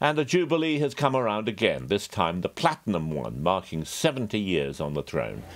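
Against faint background music, a man with a fairly low pitch speaks at a moderate pace using very wide pitch swings. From England. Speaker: news contributor. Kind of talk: news commentary segment. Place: home room. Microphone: webcam.

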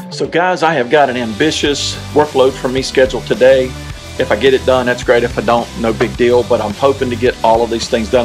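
Clear music plays in the background. Over it, a man speaks at a very fast pace with ordinary pitch variation. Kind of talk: casual vlog chat. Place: home room. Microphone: phone near.

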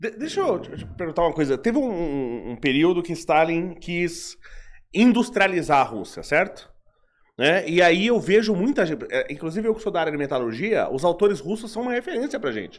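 Pitched high, a man's voice moves through very wide pitch swings at a moderate pace. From Brazil. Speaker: podcast host, metallurgy engineer; podcast host. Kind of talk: podcast interview. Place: studio. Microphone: studio mic.

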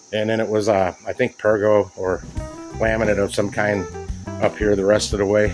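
Clear music plays in the background as a man speaks in a fairly low voice. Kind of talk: casual walkthrough commentary. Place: home room. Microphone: phone near.

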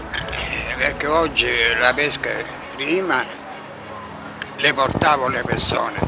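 A man at a very slow pace, with ordinary pitch variation and noticeable background noise. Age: 80s+. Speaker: fisherman. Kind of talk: interview. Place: waterside. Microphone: handheld.

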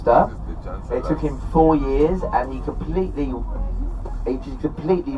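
A man speaks at a moderate pace against light background noise. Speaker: tour guide. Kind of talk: live commentary. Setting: on a sightseeing bus, PA system. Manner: chatty, humorous. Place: bus.

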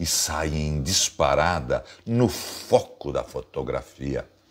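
A man speaks in an animated, theatrical tone against a quiet background. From Brazil. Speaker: poetry channel host, reciter. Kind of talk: poetry reading, declaimed spoken word. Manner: expressive, dramatic delivery. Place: home room. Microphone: phone near.

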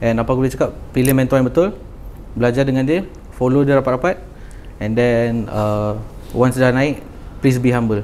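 A man speaks at a moderate pace with fairly even intonation and long, frequent pauses. Light background noise sits behind him. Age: 20s. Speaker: young trader; podcast guest. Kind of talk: casual chat. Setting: studio. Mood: calm, relaxed. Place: studio. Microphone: lapel.

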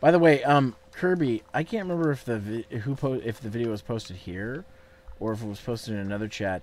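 Lively intonation marks this man's speech at a fairly quick pace. The sound is dry, with no echo. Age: 30s. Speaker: gaming streamer. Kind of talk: casual chat. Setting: video call. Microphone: studio mic.

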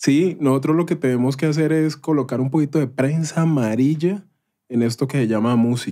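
In a very clean recording with a silent background, a man with a fairly high, dark, mellow voice speaks at a moderate pace, with ordinary pitch variation and very even loudness. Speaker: podcast host. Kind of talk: casual interview chat.

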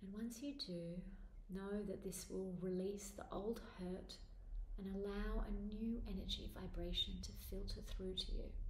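A woman speaks at a fairly slow pace. Audible room echo and light background noise are present. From Australia. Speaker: spiritual author and meditation teacher. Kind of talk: guided meditation. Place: home room. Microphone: phone near.

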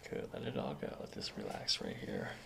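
Amid clear background noise and audible room echo, a man with an extremely low pitch and vocal fry talks at a fairly quick pace with very wide pitch swings.

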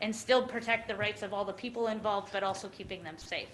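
Music plays in the background. The speech shows ordinary pitch variation. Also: woman. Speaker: insurance pool deputy director presenting to county commission. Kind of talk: formal presentation at public meeting. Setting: county commission meeting room.

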